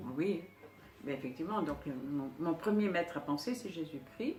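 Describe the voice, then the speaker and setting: A woman's very deep, low voice with lively intonation over noticeable background noise. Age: 70s. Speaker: psycho-energetic therapist. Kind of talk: interview. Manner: halting.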